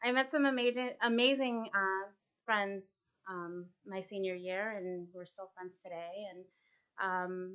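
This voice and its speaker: In an ordinary speaking voice, a woman talks at a fairly slow pace and medium pitch, with ordinary pitch variation and big swings in loudness. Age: 30s. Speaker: artist and paint class instructor. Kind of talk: casual interview chat. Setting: art studio, live stream.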